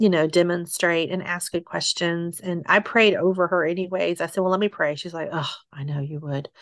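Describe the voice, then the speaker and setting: At a fairly low pitch, a woman with an unremarkable speaking voice talks with fairly even intonation. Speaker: single mother sharing her story. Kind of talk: testimony.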